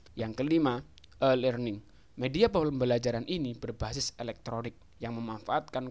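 In a normal speaking voice, a man talks at a moderate pace. His medium pitch carries fairly even intonation. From East Java, Indonesia (Jombang). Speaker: university student. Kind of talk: scripted educational explainer. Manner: formal.

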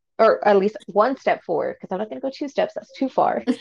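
The speaker is a woman with an American accent. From Texas, Fort Worth. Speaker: activist and student. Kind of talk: casual chat.

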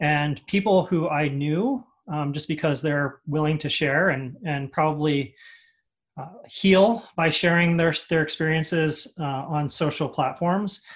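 Here a man has an unremarkable speaking voice with a fairly high pitch. His pitch varies in an ordinary way, and his pace is fairly slow. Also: very clean recording, silent background. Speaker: advertising creative leader, guest. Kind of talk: interview answers.

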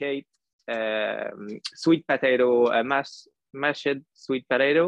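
A man with a Quebec accent speaks at fairly high pitch with ordinary pitch variation. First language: French. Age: 20s. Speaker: trail runner. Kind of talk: interview. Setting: video call. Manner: halting.

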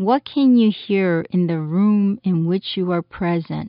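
A woman's gentle, calm voice at medium pitch, very slow in pace with ordinary pitch variation, over music in the background. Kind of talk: guided meditation. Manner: slow, calm and soothing, with long pauses between instructions; gentle, soft-spoken and even in tone.

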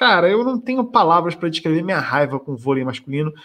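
With an ordinary speaking voice, a man talks at a fairly quick pace, using lively intonation and a fairly high pitch. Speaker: podcast host. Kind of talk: casual chat.

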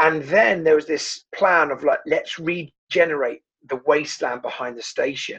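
Here a man speaks in a southern English accent. His pace is moderate. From southern England. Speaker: pastor. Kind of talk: interview. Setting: video call.

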